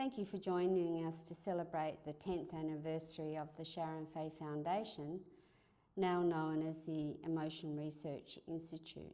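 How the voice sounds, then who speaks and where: A woman with an Australian accent speaks at a moderate pace in a very deep, low pitch, her tone dark and mellow and her intonation fairly even. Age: 70s. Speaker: institute founder and chair. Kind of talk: speech at an anniversary event.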